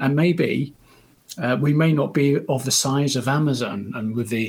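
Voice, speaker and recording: A man with a British accent speaks at a moderate pace in a medium pitch. His voice is somewhat breathy, with ordinary pitch variation. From United Kingdom. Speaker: supply chain consultant. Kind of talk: interview. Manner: halting, with frequent repetitions.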